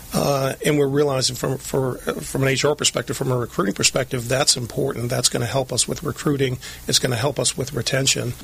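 Over noticeable background noise, a man speaks at a medium pitch. He barely pauses and keeps his intonation fairly even. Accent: American. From Lynn, Massachusetts. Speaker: HR director, Marine veteran. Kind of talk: interview. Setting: studio.

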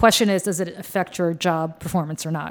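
Vocal fry runs through a woman's very deep, low-pitched voice. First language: Russian. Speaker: political podcast co-host. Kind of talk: casual chat. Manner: halting, many fillers.

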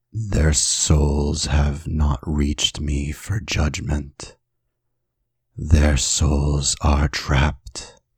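A man uses a put-on character voice with a very deep, low pitch. He speaks at a very slow pace. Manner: solemn, commanding.

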